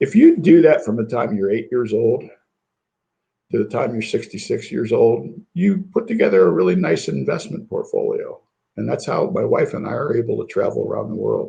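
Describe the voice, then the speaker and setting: A man at a moderate pace with a Midwestern American accent. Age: 60s. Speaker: business incubator executive. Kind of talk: interview.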